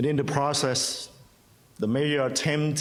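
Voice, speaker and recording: A man with a Vietnamese accent. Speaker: pastor. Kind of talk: prepared statement.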